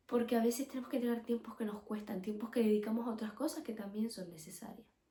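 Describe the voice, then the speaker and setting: Speaking very fast, a woman has a fairly high pitch, a dark, mellow tone and a somewhat breathy quality. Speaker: podcast host. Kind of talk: religious teaching podcast. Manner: casual.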